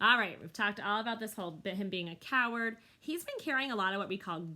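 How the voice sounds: Natural reading voice, nothing more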